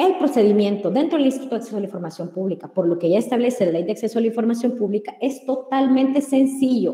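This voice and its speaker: Noticeable noise sits behind a woman with a fairly high pitch and lively intonation. She talks very fast with hardly any pauses. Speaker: public information commissioner. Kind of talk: webinar presentation.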